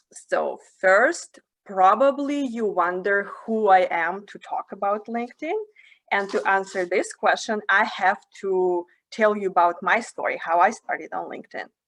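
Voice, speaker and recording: Speaking fairly slowly in a Russian accent, a woman uses a medium pitch with ordinary pitch variation and big swings in loudness. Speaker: career development facilitator. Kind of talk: webinar talk.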